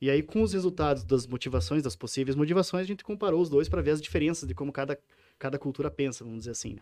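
A man with a fairly high pitch and a dark, mellow tone talks at a very fast pace. His pitch swings very widely on a very clean recording with a silent background. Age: 30s. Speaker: PhD researcher. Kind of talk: casual interview. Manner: halting, frequent repetitions.

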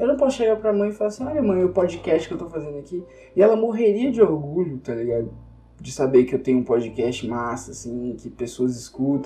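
Moving at a fairly quick pace, a man with a fairly high pitch makes very wide pitch swings and big swings in loudness. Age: young. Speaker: podcast host. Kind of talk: casual monologue venting. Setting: home recording.

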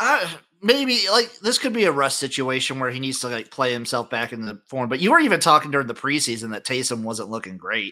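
A man speaks at a fairly quick pace with hardly any pauses, in an animated tone with lively intonation. His medium-pitched voice has a bright, sharp tone. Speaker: podcast host. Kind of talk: casual banter about sports. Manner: joking, animated.

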